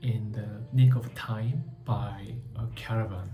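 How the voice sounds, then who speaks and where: A medium-pitched man talks in a flat monotone, with audible room echo and music in the background. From South Korea. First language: Korean. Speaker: book vlogger. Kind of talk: book review talk. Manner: halting, many fillers.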